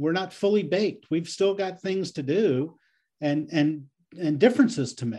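At a moderate pace, a man talks in a high voice with a dark, mellow tone. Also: lively intonation. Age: 60s. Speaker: guest on senior-issues podcast, anti-ageism advocate. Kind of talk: interview conversation. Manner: halting with frequent repetitions.

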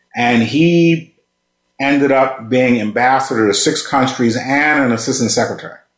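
This man has an ordinary speaking voice, medium in pitch, with fairly even intonation and a moderate pace. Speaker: podcast co-host, retired official. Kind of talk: interview. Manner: formal.

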